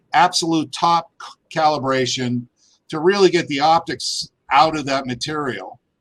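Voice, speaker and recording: A normal speaking voice with ordinary pitch variation at a moderate pace. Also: man, fairly high pitch for a man. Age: 60s. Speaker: geologist and gem miner. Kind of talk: interview conversation.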